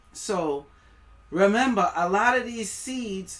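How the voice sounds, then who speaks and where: Lively intonation and an animated tone mark this speaker, who talks with a West Indian accent. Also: woman. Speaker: livestreamer. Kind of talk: live stream commentary. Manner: casual, animated; stumbling, tongue-tied.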